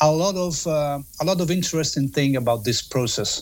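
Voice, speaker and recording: This speaker has an Italian accent and ordinary pitch variation. The recording is very clean, with a silent background. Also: man. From Italy. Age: 50s. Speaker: music author and journalist. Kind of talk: interview. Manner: halting.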